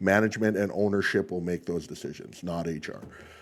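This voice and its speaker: On a very clean recording with a silent background, a man's loud, booming voice moves at a fairly quick pace. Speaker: tradesman vlogger. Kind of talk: casual monologue vlog. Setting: livestream.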